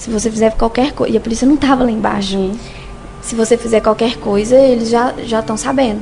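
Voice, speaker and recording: Over noticeable background noise, a woman with a Minas Gerais accent speaks at a very fast pace, her fairly high pitch delivered in a monotone, flat intonation. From Sete Lagoas, Minas Gerais, Brazil. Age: 30s. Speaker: survivor of domestic abuse. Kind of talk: testimony.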